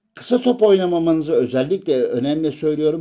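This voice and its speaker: This man has a fairly high pitch and a dark, mellow tone. He moves at a moderate pace with lively intonation. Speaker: gaming YouTuber. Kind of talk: tutorial. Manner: hesitant, frequent filler sounds.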